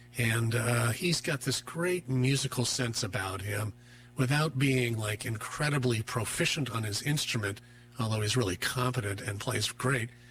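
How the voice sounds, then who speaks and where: A man speaks at a moderate pace with medium pitch and ordinary pitch variation, over noticeable background noise. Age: 60s. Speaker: musician and counselor. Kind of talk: radio interview. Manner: hesitant with many fillers.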